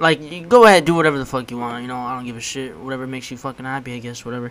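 A man speaks at a medium pitch. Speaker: podcast host. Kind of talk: casual banter, comedic chat.

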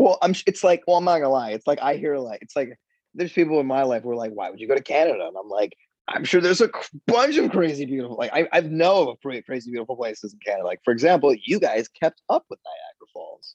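Talking at a very fast pace with an American accent, a man uses lively intonation and big swings in loudness, recorded dry and close with no echo. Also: fairly high pitch for a man. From Florida. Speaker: podcast guest. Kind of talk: casual chat. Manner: fast, filler-heavy.

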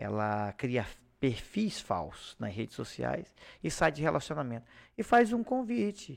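In a very clean recording with a silent background, a man speaks at a fairly slow pace. His fairly high voice moves in very wide pitch swings. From Acre, Brazil (Xapuri). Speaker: police chief, former public security secretary. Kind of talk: interview.

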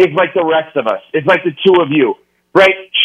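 A man with an American accent, high in pitch, at a moderate pace. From New York. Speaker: sports radio host. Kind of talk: radio interview.

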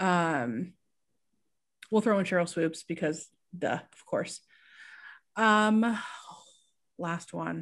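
A woman with a Midwestern American accent and fairly low pitch, at a very slow pace with long, frequent pauses and big swings in loudness, on a very clean recording with a silent background. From small-town Indiana. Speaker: sports journalist. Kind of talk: casual interview.

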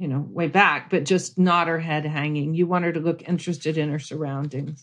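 A woman's fairly low-pitched voice, an ordinary speaking voice with fairly even intonation, over a quiet background. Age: 50s. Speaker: homesteader and author. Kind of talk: casual interview.

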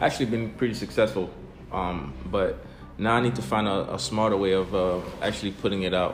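A man's fairly low, upbeat voice with ordinary pitch variation, music in the background. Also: fairly quick pace. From Caribbean. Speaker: soldier and content creator. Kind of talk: casual chat. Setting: on a military base in Bulgaria. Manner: casual, profane, upbeat.

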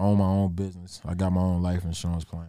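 The man's voice sits very deep and low. His intonation is flat and monotone. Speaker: radio station owner. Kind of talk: casual interview chat. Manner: casual, laid-back.

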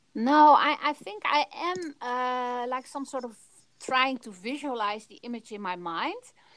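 Speaking at a fairly slow pace, a woman with a Dutch accent uses a high pitch and lively intonation. Her loudness swings a lot. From Netherlands. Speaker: photographer. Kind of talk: interview.

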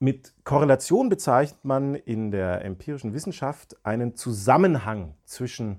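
A man's normal speaking voice, medium-pitched with lively intonation, on a very clean recording with a silent background. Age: 40s. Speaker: psychologist, podcast co-host. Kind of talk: casual explanatory chat.

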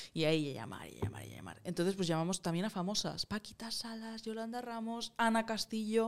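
A woman speaks at a moderate pace and medium pitch, with ordinary pitch variation and an unremarkable speaking voice. Her loudness swings a lot. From Catalonia (Moncada). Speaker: singer-songwriter and producer. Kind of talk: casual interview chat.

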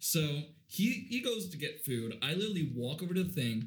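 Speech moves at a moderate pace. There is a somewhat breathy quality to the voice. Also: man. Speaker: podcast co-host. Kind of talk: casual chat. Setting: studio.

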